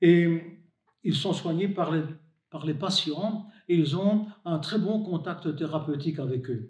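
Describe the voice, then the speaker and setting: A man speaks at a very slow pace. His pitch is high. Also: ordinary pitch variation. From Belgium, Hainaut. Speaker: deacon and hospital chaplain. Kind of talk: religious reflection to camera.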